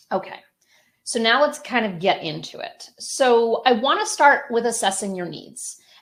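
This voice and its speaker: With an American accent, a woman talks at a fairly high pitch and a moderate pace. She has an unremarkable speaking voice with lively intonation. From US Northeast, Connecticut. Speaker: publishing company founder, webinar presenter. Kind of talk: webinar presentation. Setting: online webinar.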